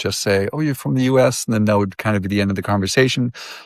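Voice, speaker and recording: A man with an American accent talks at a medium pitch with ordinary pitch variation, the sound dry and close with no echo in a very clean recording over a silent background. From US, Massachusetts. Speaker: marketing professional and musician. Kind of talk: interview testimony. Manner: halting, many fillers.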